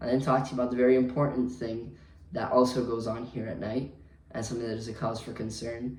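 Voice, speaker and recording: A man's medium-pitched voice with an American accent, very fast and monotone in its flat intonation, with audible room echo. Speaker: hotel night clerk. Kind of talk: vlog monologue. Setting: hotel front desk at night. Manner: hesitant, many fillers.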